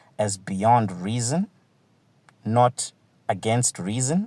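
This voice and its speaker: A man of medium pitch speaks with a non-native accent. The recording is very clean, with a silent background and a dry, close sound with no echo. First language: not English. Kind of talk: televised panel debate.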